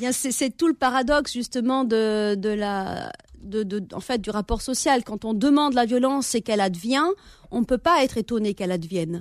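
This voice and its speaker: A woman with a fairly high pitch and lively intonation speaks at a moderate pace in a dry, close sound with no echo. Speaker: novelist and teacher. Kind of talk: radio interview. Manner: hesitant, many fillers.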